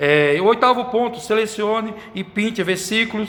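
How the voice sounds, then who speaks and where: A man at a fairly slow pace. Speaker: Sunday school teacher trainer. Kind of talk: lecture. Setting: church. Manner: halting.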